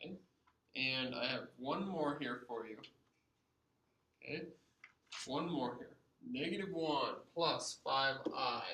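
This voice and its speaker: With a bright, sharp tone and a fairly high pitch, a man speaks at a very slow pace with ordinary pitch variation and long, frequent pauses, in audible room echo. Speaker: math teacher. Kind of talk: lecture.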